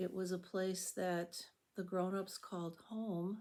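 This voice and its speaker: A woman speaks with an American accent at a medium pitch. Her tone is calm, dark and mellow. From US Midwest, Chicago. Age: 70s. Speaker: YouTuber, retiree. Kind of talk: casual reflective monologue. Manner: calm, unhurried.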